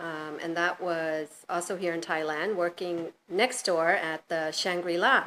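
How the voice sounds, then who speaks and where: With an American accent, a woman talks in an unremarkable speaking voice. Her pitch sits fairly low. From US, New York. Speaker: hotel general manager. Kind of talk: interview.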